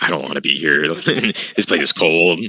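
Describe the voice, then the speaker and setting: At a moderate pace, a man uses a raspy, put-on character voice with a very deep, low pitch. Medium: actual play.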